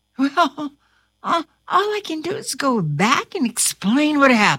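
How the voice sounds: A woman puts on a character voice, high-pitched with a bright, sharp tone, very wide pitch swings and a fairly slow pace.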